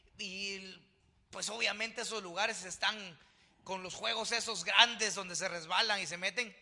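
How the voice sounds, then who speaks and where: A man speaks in a raised, projected voice. His tone is animated. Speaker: pastor. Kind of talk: sermon. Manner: loud.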